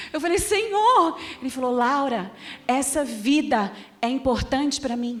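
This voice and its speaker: With a Minas Gerais accent, a woman speaks high-pitched, animated, and fairly slow, over noticeable background noise and audible room echo. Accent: Minas Gerais (mineiro). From Brazil, Minas Gerais (Belo Horizonte). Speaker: pastor. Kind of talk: sermon.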